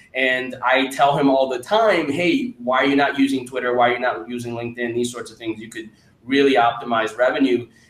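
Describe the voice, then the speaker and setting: Medium pitch from a man at a fairly quick pace, with big swings in loudness and noticeable background noise. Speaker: podcast host, venture investor. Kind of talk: interview. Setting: video call. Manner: enthusiastic.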